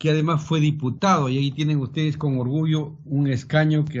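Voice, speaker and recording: Delivery is fairly slow. A somewhat breathy quality colors the voice. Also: man. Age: 60s. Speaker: supreme court judge. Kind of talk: formal presentation to a congressional committee. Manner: formal.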